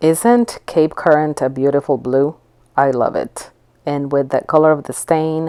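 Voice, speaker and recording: Her very deep, low pitch and dark, mellow tone carry ordinary pitch variation as this woman talks at a fairly slow pace. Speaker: furniture painter and flipper. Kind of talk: tutorial narration. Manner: casual, with fillers and repeats.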